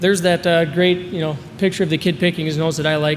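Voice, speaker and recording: A man with an American accent speaks at a fairly quick pace with a high pitch and fairly even intonation. Noticeable background noise runs under his voice. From Minnesota, US Midwest. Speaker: sales presenter for a telemedicine company. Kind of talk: conference presentation. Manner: fast.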